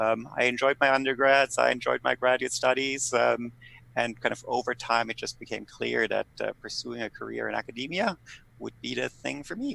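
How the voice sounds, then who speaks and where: The sound is dry and close, with no echo. A man with a German accent speaks at a moderate pace. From Germany. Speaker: political scientist. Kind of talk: podcast interview.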